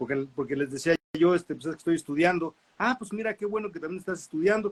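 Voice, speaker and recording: A man at a very fast pace, ordinary pitch variation, dry close sound with no echo. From Mexico, Nezahualcóyotl (State of Mexico). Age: 60s. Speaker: visual artist. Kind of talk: interview. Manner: hesitant, many fillers and repetitions.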